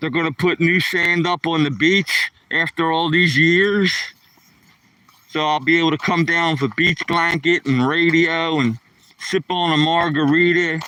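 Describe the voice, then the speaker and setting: A man's high voice in a Philadelphia accent, at a moderate pace with very even loudness, dry and close with no echo. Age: 60s. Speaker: live streamer. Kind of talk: casual vlog talk. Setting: outdoors on a walk. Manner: casual.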